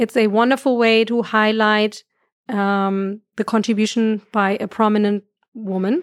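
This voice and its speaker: In a very clean, dry, close recording with a silent background and no echo, a woman with a German accent speaks at a fairly slow pace with a fairly high pitch, fairly even intonation and very even loudness. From Germany. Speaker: astrophysicist. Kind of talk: interview conversation.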